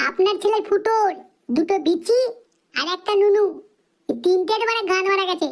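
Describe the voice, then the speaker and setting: A woman performs a squeaky cartoonish character voice at an extremely high pitch, with ordinary pitch variation at a moderate pace. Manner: crude, cheeky.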